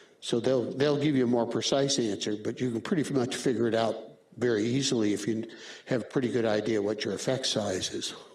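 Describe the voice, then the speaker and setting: Amid audible room echo, a man talks at a fairly quick pace with medium pitch and fairly even intonation. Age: 70s. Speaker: radiology professor. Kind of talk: lecture. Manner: casual.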